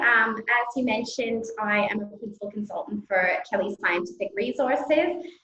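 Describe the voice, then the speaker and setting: A woman with a Canadian accent and a normal speaking voice, at a moderate pace. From Canada. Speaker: scientific recruitment consultant. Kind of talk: panel introduction.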